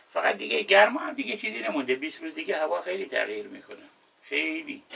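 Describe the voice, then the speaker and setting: With noticeable background noise behind him, a man talks at a very fast pace, his loudness swinging widely. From Khuzestan, Khorramshahr, southwest Iran. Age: 60s. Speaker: wooden boat repairman. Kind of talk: casual chat. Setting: indoors with air conditioner running.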